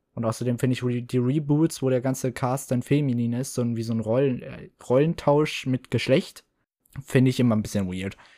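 The speaker keeps a moderate pace. The recording is very clean with a silent background. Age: 20s. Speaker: podcast host. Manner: animated; excitable.

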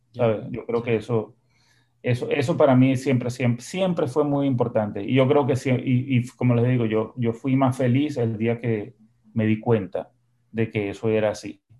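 A man's medium-pitched voice with a dark, mellow tone, at a moderate pace. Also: fairly even intonation. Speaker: musician and composer. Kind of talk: interview conversation. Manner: halting, repeats words.

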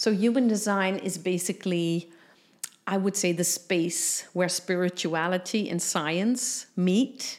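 A woman speaks with a Dutch accent. Her pace is very slow. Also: medium pitch for a woman, ordinary pitch variation. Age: 50s. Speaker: business mentor and human design coach. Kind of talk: casual interview.

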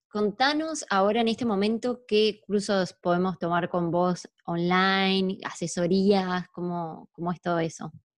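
A woman with an Argentine accent at a fairly slow pace. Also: medium pitch for a woman, ordinary pitch variation. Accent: Rioplatense Argentine Spanish. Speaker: podcast host. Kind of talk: casual interview.

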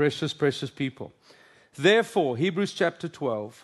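Against a quiet background, a man speaks with a South African accent. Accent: Afrikaans South African English. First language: Afrikaans. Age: 50s. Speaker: pastor. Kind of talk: sermon. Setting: stage with audience.

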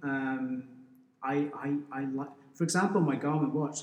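A man's fairly high voice with ordinary pitch variation, over noticeable background noise. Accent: South Wales. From Wales, valleys near Pontypridd. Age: 40s. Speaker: school business teacher and endurance runner. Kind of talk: casual interview. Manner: halting, frequent repetitions.

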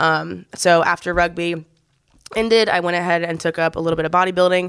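A woman at a fairly low pitch, fairly quick pace and fairly even intonation, on a very clean recording with a silent background. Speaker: gym coach and podcast host. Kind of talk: casual chat. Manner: loud.

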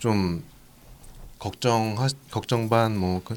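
His intonation fairly even, a man speaks at a fairly low pitch. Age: 30s. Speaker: podcast host. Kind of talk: casual chat.

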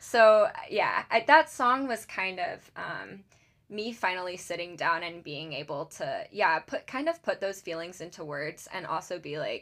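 Lively intonation and big swings in loudness mark this woman's medium-pitched voice. She speaks at a fairly slow pace. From US South, Charleston, South Carolina. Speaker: singer-songwriter. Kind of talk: casual chat. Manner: hesitant, many fillers.

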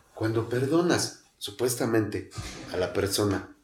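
A man talks at a fairly slow pace in a fairly low pitch. His voice is somewhat breathy. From Mexico City, Tepito. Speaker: recovering alcoholic. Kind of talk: testimony. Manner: halting.

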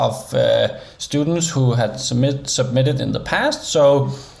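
A man in a Danish accent at a fairly slow pace, with noticeable background noise. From Denmark. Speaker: interaction designer and creative coder. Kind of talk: interview.

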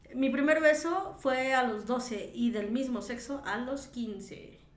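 A woman speaks at a high pitch with lively intonation. Noticeable background noise and audible room echo fill the space. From Mexico City. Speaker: podcast co-host. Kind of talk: casual chat. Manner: laughs often.

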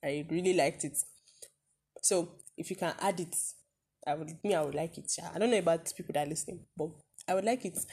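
Her voice moves at a very fast pace, yet with long, frequent pauses. The woman sounds somewhat breathy, with a dark, mellow tone and ordinary pitch variation. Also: fairly low pitch for a woman. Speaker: podcast co-host. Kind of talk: casual chat. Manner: joking, playful banter.

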